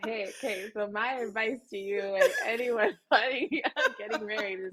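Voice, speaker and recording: A woman with a plain, everyday voice, fairly high in pitch, at a moderate pace, with ordinary pitch variation and big swings in loudness. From Canada. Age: 20s. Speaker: actress and voice actor. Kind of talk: casual interview chat.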